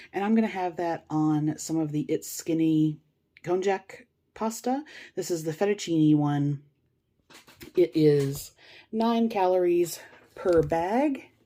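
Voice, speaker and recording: Over a very clean recording with a silent background, a woman with a fairly low pitch and a dark, mellow tone speaks at a very slow pace with lively intonation and long, frequent pauses. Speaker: food vlogger. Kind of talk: casual cooking vlog. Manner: casual, with fillers.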